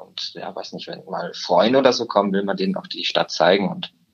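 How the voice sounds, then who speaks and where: Here a man talks at a moderate pace with a fairly low pitch. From Upper Bavaria, Germany (Murnau area). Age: young. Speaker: trainee insurance clerk. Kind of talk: interview. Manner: hesitant with many fillers.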